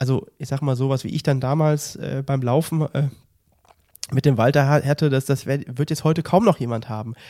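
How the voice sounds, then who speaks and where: On a very clean recording with a silent background, a man speaks at a moderate pace with a fairly high pitch. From Mönchengladbach, western Germany. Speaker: triathlon podcast co-host. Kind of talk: casual chat. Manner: animated.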